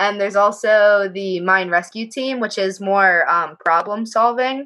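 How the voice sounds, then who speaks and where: A bright, sharp tone at a moderate pace, fairly even intonation, over a quiet background. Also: woman. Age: 20s. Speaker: undergraduate mining engineering student. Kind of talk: Q&A panel at a virtual open house. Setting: video call. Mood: friendly and helpful. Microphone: earbuds.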